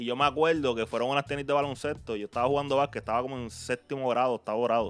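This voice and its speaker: In a Puerto Rican accent, a man speaks very fast at a medium pitch, with fairly even intonation and hardly any pauses. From Puerto Rico, Carolina. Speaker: podcast host. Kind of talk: podcast intro and outro; casual interview chat.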